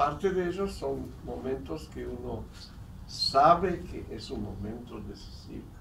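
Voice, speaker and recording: A man with an Israeli accent at a very slow pace, big swings in loudness, audible room echo and noticeable background noise. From South America. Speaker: historian and educator. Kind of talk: lecture. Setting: seminar with audience.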